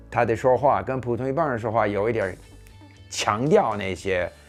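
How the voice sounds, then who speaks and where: With music playing behind him, a man's voice swings very widely in pitch. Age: 70s. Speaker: former diplomat, polyglot. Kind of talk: interview answer.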